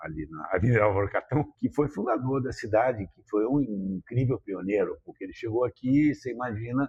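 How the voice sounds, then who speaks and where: With lively intonation and big swings in loudness, a man speaks at a medium pitch and moderate pace, with hardly any pauses. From Rio de Janeiro, Brazil. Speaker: businessman from a business family. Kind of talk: podcast interview. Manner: halting, many fillers.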